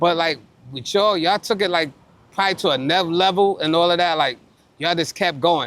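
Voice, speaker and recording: A man speaks at a very fast pace. His voice is high, with ordinary pitch variation. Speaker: basketball interviewer, former player. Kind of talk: casual interview. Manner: halting.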